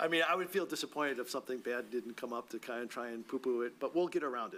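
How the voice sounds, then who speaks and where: A bright, sharp tone from a man at a very fast pace, with a medium pitch and ordinary pitch variation. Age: 60s. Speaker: board chair. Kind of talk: public meeting discussion. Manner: casual, halting.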